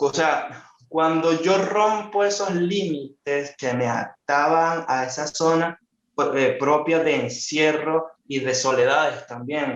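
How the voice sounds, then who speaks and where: With a Venezuelan accent, a man talks very slowly in a fairly high voice with ordinary pitch variation. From Barquisimeto, Venezuela. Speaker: illustrator and writer. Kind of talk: interview answer.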